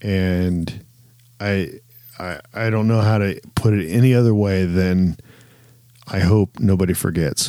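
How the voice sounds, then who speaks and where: A man speaks with a very deep, low pitch and a dark, mellow tone. His intonation is fairly even, with long, frequent pauses. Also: fairly slow pace. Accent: American. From Southern Ohio, US. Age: 40s. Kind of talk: casual chat.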